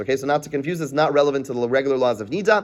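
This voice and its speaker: A man talks with an American accent. His pitch is fairly high, with ordinary variation. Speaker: Talmud teacher. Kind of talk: lecture. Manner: fast; halting.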